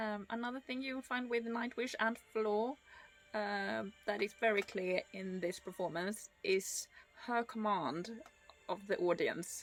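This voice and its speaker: With music in the background, a woman talks at a fairly slow pace, her medium pitch showing ordinary variation. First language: not English (English is her third language). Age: 30s. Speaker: music reaction youtuber. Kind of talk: reaction video commentary. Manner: hesitant, many fillers.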